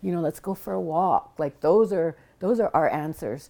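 A plain, everyday voice belongs to a woman with an American accent who speaks at a moderate pace and a fairly low pitch with lively intonation, in a very clean recording with a silent background. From Blackfeet Nation, Montana. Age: 60s. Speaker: public health researcher and nonprofit founder. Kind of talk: interview. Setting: at her home.

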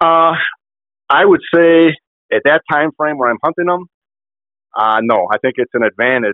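Lively intonation marks this man's fairly high pitch. He keeps a moderate pace but leaves long, frequent pauses. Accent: Upper Midwest. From Kenosha, Wisconsin. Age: 60s. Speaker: bowhunter. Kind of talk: casual interview.

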